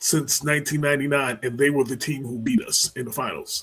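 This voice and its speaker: A man with an ordinary speaking voice talks at a moderate pace. His pitch is fairly high, with fairly even intonation. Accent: American. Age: 60s. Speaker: co-host and journalist. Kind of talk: casual chat.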